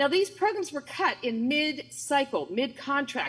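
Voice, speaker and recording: Through noticeable background noise, a woman talks at a fairly quick pace with a high pitch. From West Virginia (rural central counties). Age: 60s. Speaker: small farmer and advocate. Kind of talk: prepared speech at community forum. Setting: video call.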